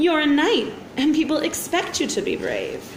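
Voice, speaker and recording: A woman bellows in a put-on character voice at an extremely high pitch, with clear background noise behind her. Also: moderate pace. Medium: read story.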